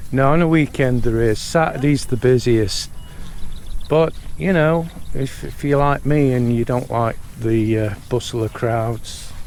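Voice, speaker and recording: Noticeable background noise behind a man at medium pitch, fairly slow pace and ordinary pitch variation. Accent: British. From Britain. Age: 50s. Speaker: vlogger. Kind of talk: casual vlog chat. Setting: outdoors at a resort.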